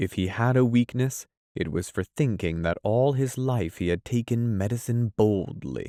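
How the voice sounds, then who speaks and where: A man speaks in a dark, mellow tone. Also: dry, close sound with no echo. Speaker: audiobook narrator. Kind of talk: audiobook reading.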